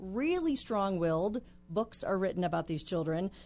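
A woman speaks in a normal speaking voice at medium pitch and a moderate pace. Her intonation is lively. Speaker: guest expert on personality types. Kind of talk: interview. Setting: radio studio.

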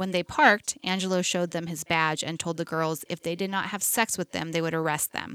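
Fairly low in pitch, a woman with a plain, everyday voice talks at a fairly quick pace in a dry, close sound with no echo. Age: 40s. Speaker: true crime podcast co-host. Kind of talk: casual chat with case narration.

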